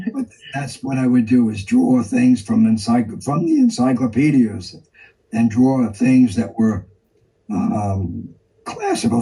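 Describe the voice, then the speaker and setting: A dark, mellow, somewhat breathy voice in a New York accent moves at a fairly slow pace with ordinary pitch variation. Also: man. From New York City, East Harlem. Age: 80s+. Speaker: artist. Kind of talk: interview.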